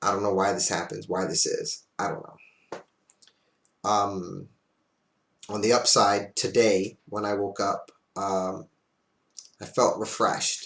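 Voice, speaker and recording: Leaving long, frequent pauses, a man talks at a very slow pace. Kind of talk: casual talk to camera. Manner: hesitant, many fillers.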